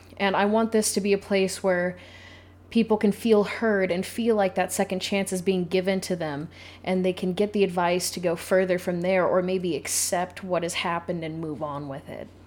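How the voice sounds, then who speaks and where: A plain, everyday voice, fairly even in intonation and moderate in pace. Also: woman, medium pitch for a woman. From Idaho, small town. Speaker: podcast host, advice giver. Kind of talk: solo monologue, casual. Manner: occasional laughter.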